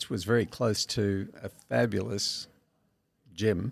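Speaking very slowly, a man uses an Australian accent. His pitch is fairly low, with ordinary variation. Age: 70s. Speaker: masters powerlifter. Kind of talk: casual interview.

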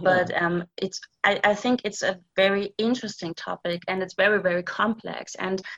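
Speaking with a German accent and hardly any pauses, a woman uses a medium pitch, fairly even intonation and a bright, sharp tone. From East Germany. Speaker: thriller author. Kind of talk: interview.

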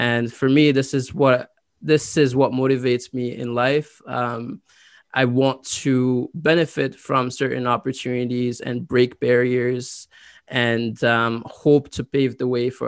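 Monotone, flat intonation from a man at medium pitch, fairly slow pace, and a dry, close sound with no echo. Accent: French. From Côte d'Ivoire, then Ottawa, Canada. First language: French. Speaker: university graduate and scholarship winner. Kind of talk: interview.

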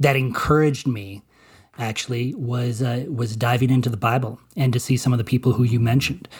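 Somewhat breathy, a man talks at a fairly quick pace and medium pitch. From Colorado, US. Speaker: movie critic and journalist. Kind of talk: interview testimony. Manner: halting, many repetitions.

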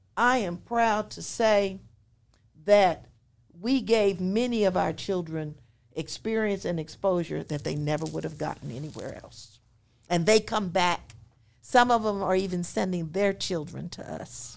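A woman speaks in a plain, everyday voice at a fairly slow pace, with ordinary pitch variation and big swings in loudness. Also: medium pitch for a woman. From rural Pennsylvania, Chester County. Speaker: retired educator and school co-founder. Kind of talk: interview, life story. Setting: in-person studio recording. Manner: formal.

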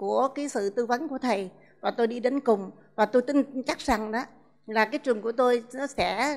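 High-pitched woman's speech at a moderate pace with ordinary pitch variation, on a very clean recording with a silent background. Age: 60s. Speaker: school principal. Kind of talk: testimony. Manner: halting.

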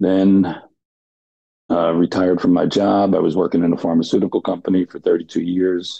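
A man with a New Jersey accent speaks at a moderate pace in a very deep, low voice. His intonation is monotone and flat. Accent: New Jersey American. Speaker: blind darts player, retiree. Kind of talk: podcast interview.

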